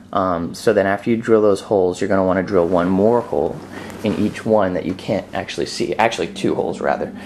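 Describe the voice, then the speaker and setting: Against noticeable background noise, a man with a fairly low pitch speaks at a fairly quick pace with fairly even intonation. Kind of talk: DIY how-to tutorial. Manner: slurred, mumbly, as if after dental work; casual, hesitant, many fillers.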